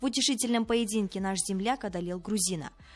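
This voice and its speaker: Music plays in the background as a woman talks at a fairly quick pace. Her pitch is medium, with ordinary variation. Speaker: TV news presenter. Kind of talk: TV news report voiceover.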